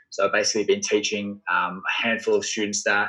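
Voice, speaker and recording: Australian accent from a man. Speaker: entrepreneur and sales coach. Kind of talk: podcast interview.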